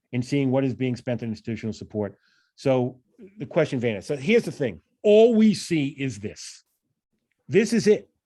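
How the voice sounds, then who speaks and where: With a New York accent, a man at a medium pitch speaks in a dark, mellow tone at a moderate pace. His pitch swings very widely, and he leaves long, frequent pauses. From New York, Long Island. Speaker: financial analysis trainer, professor. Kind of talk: training presentation.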